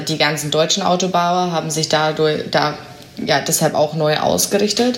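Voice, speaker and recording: A woman with a very deep, low pitch speaks at a moderate pace with ordinary pitch variation. Audible room echo and noticeable background noise fill the recording. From Bavaria (Augsburg). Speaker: company press spokesperson. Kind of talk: interview.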